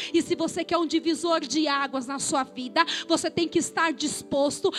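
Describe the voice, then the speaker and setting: This woman's voice sits extremely high. Her tone is animated and passionate. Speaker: pastor. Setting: church, live congregation. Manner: passionate, emphatic, rising-intensity delivery with rhythmic repetition; colloquial, animated, direct confrontational address to the congregation.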